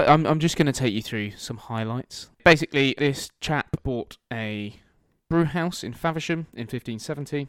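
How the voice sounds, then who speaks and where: With music in the background, the speaker goes at a fairly slow pace with ordinary pitch variation and big swings in loudness, in a dry, close sound with no echo. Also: man, fairly high pitch for a man. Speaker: podcast host. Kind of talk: casual chat.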